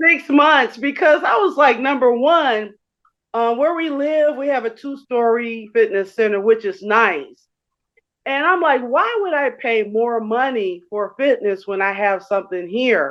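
A woman's high, fairly slow voice with lively intonation. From Chicago, west side. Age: 60s. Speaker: gym member, transit driver. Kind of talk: casual interview. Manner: hesitant, many fillers.

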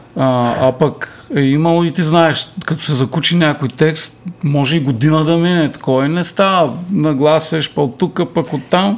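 Noticeable background noise sits behind a man with a fairly high voice who talks at a fairly slow pace, with ordinary pitch variation and hardly any pauses. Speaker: musician and songwriter. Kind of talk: casual chat.

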